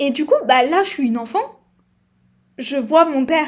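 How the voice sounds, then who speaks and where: Ordinary pitch variation and a moderate pace from a woman with a high voice. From southern France (Provence-Alpes-Côte d'Azur, rural village). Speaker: podcaster. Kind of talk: personal testimony. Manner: halting, many hesitations.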